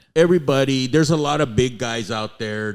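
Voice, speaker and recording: A man with a normal speaking voice, ordinary pitch variation, and a moderate pace, in a very clean recording with a silent background. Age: 60s. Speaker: radio personality and event promoter. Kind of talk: casual chat.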